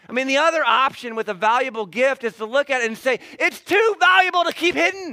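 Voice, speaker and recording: His voice is raised and projected, extremely high for a man. This man talks very fast with very wide pitch swings. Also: hardly any pauses. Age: 40s. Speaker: pastor. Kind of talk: sermon.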